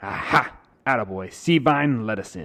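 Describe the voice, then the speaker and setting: At a moderate pace, a man uses a put-on character voice with a medium pitch. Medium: read story. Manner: brash, bossy.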